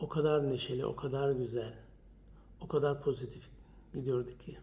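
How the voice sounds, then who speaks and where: A man with a fairly high pitch talks at a moderate pace with ordinary pitch variation and big swings in loudness. He leaves long, frequent pauses. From Germany (Turkish community). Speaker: documentary maker, widower. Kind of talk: testimony.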